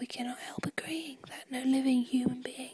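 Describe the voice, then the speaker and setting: Whispering at a fairly slow pace, a woman with a British accent is heard in a dry, close sound with no echo. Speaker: ASMR performer. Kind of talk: poetry reading. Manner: whispered, soft-spoken.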